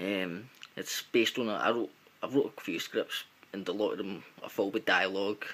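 The speaker talks at a moderate pace in a strong Glaswegian accent. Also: man. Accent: thick Glaswegian Scottish. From Glasgow, Scotland. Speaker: amateur filmmaker. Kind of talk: casual vlog talk to camera. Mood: upbeat, a bit shy. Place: home room. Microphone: webcam.

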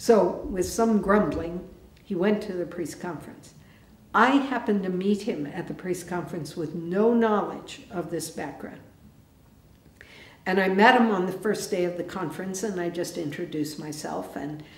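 At a moderate pace and with ordinary pitch variation, a woman talks amid audible room echo. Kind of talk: teaching talk with storytelling. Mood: calm, warm. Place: church.

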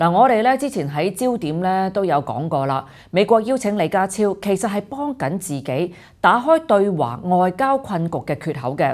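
A woman at a moderate pace with hardly any pauses and very wide pitch swings, over a quiet background. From Hong Kong. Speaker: political commentary host. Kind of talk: scripted news commentary. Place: studio.

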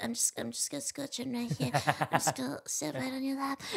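In a put-on character voice, a female-sounding speaker uses a high pitch and a playful tone at a moderate pace. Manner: silly, playful.

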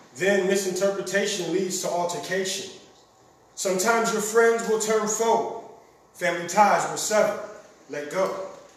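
Over noticeable background noise, a man with a high pitch talks at a moderate pace with fairly even intonation and long, frequent pauses. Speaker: spoken word poet, competitor. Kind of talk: spoken word poetry performance. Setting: stage with audience. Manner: rhythmic, rousing.

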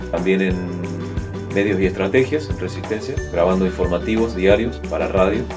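Moderate-paced speech from a man against clear music in the background. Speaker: radio and TV announcer, voice-over professional with a home recording studio. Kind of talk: interview answer about his career. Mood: relaxed, friendly. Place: booth. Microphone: studio mic.

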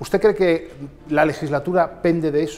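The man's delivery moves at a moderate pace. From Spain. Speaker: political interviewer. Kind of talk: interview. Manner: formal. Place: office. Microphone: lapel.

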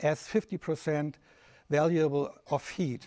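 A man speaks at a fairly high pitch. The background is quiet. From Germany. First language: German. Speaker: lecturer. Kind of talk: lecture. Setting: festival talk with live audience. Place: hall.

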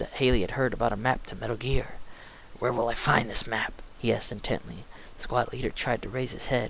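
Unforced reading aloud

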